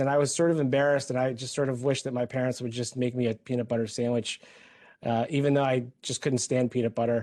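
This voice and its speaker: Speaking at a very fast pace with an American accent, a man has a dark, mellow tone, a medium pitch and fairly even intonation. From Philippines, raised in California. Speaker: health system executive. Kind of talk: personal testimony. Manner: halting, many fillers.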